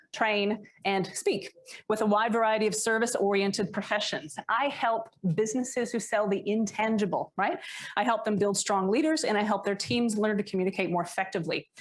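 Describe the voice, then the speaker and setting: A woman with an American accent speaks at a fairly quick pace and fairly high pitch, with ordinary pitch variation and very even loudness. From United States. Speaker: leadership coach. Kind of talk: workshop talk. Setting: stage with live audience.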